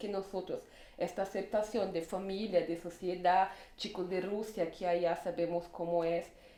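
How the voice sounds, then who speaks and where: In a Portuguese accent, a woman speaks at a moderate pace and medium pitch with monotone, flat intonation. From northern Brazil. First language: Portuguese (speaking Spanish). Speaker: LGBT refugee. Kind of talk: casual conversation.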